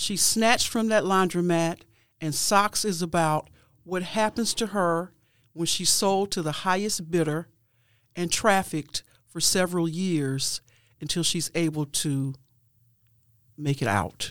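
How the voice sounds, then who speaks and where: A woman talks at a fairly slow pace in a fairly low pitch with ordinary pitch variation, leaving long, frequent pauses. The recording is very clean, with a silent background. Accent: American. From Cleveland, Ohio. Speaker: poet and playwright. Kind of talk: interview. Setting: studio.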